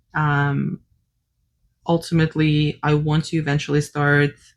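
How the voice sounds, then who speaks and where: A woman talks with a non-native accent. Her pitch is very deep and low, and her pace is very slow. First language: not English. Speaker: cross-stitch designer and vlogger. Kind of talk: casual unscripted vlog chat. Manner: hesitant, many fillers.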